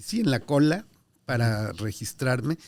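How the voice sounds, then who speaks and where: The speaker is a man. He talks with a Mexico City accent. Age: 60s. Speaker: diplomat. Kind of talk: interview. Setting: in person at consulate office.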